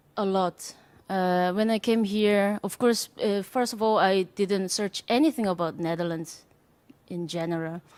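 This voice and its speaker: A woman with a Korean accent speaks at a fairly slow pace, her medium pitch showing ordinary variation. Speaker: jazz drummer. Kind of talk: panel discussion. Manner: halting.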